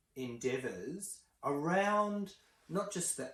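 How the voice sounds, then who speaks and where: Speaking at a very slow pace, a man has an Australian accent. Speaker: counsellor and commentator. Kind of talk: video commentary monologue. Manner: halting, many fillers.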